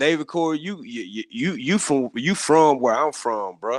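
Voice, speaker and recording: A man's moderate-paced speech comes through over a quiet background. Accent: Southern US. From rural US South. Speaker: gardening community panelist. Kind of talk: casual chat. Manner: animated, many repetitions and false starts.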